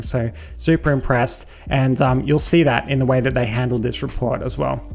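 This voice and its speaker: Light background noise behind a man at a moderate pace, with ordinary pitch variation. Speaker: security educator. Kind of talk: tutorial commentary over screen share.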